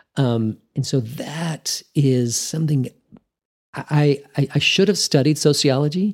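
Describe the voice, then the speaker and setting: A normal speaking voice from a man, fairly high in pitch, with ordinary pitch variation and a fairly slow pace. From Texas Panhandle (Amarillo). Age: 50s. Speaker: pharmacist. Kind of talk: interview conversation.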